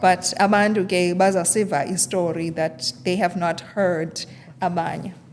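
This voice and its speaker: A woman's fairly low voice at a moderate pace, fairly even in intonation, over noticeable background noise. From South Africa, Eastern Cape (Transkei). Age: 30s. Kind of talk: interview.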